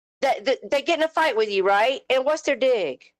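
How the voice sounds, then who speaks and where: A woman with a Southern US accent, very wide pitch swings, and a dry, close sound with no echo. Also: very clean recording, silent background. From US South. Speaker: live stream host. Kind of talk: heated rant on live panel. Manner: animated.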